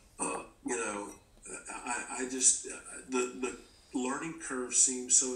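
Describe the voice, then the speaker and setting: The voice swings very widely in pitch at a fairly slow pace. Music plays in the background, and room echo is audible. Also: man. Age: 50s. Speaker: guest speaker on faith. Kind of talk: podcast conversation. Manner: halting.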